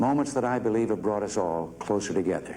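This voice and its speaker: A man speaks in a normal speaking voice at a medium pitch and a moderate pace. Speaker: U.S. president. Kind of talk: televised presidential address. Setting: studio, broadcast speech. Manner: measured, solemn.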